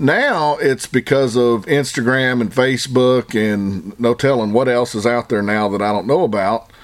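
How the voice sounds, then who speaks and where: Talking at a moderate pace with hardly any pauses, a man with a Southern US accent uses a medium pitch and ordinary pitch variation. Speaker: trapping podcast host. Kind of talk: solo podcast monologue. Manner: casual, conversational.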